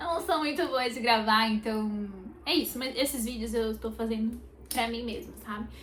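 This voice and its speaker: Noticeable background noise sits behind a woman speaking at a fairly slow pace. Her fairly high voice has ordinary pitch variation. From Brazil, interior of São Paulo state (Sumaré). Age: 20s. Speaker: makeup artist vlogger. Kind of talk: personal vlog. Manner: hesitant, many fillers.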